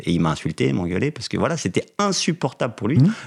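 A man speaks very fast with vocal fry. His pitch swings very widely. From France, Vosges (near Remiremont). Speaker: motoring journalist and cycling blogger. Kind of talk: interview.

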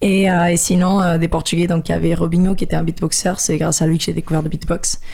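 Speaking at a fairly quick pace, a woman uses a fairly low pitch with vocal fry, a dark, mellow tone, very even loudness and a monotone, flat intonation. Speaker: beatboxer and singer. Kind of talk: casual interview.

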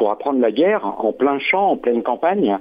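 Lively intonation runs through this man's speech. His pitch is medium. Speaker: caller, former conscript. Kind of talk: radio phone-in.

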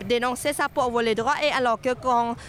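Over noticeable background noise, a woman with a non-native accent talks at a high pitch and a fairly slow pace. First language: not French (speaking French). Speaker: sex workers' rights activist. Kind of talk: street interview.

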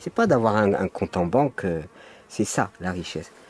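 Recorded in a dry, close sound with no echo, a man with a fairly low pitch speaks with lively intonation. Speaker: guest commentator. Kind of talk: casual discussion. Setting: outdoors in a garden.

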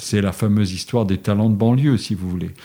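A man's fairly low-pitched voice, dark and mellow, with fairly even intonation. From Lorraine, France (Forbach). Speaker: sociologist. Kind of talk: interview.

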